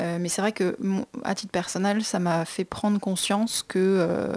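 Recorded with a dry, close sound and no echo, a woman talks at a medium pitch with fairly even intonation. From Brittany, France. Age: 20s. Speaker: fashion entrepreneur. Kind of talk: radio interview. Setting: studio.

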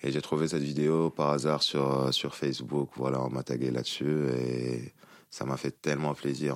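In a Tunisian accent, a man with a very deep, low pitch speaks at a fairly slow pace with monotone, flat intonation, in a dry, close sound with no echo. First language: Tunisian Arabic (speaking French). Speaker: musician. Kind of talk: interview. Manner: halting.

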